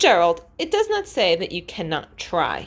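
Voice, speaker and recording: Here a woman uses a put-on character voice. Her pitch sits in the medium range. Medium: read story. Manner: bright, energetic, upbeat.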